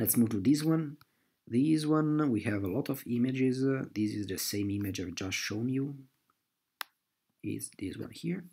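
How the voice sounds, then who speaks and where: With a non-native accent and a dark, mellow tone, a man talks at a moderate pace with lively intonation and long, frequent pauses. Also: medium pitch for a man. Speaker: amateur map analyst. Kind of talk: screen-recorded map explanation. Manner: hesitant, with frequent fillers.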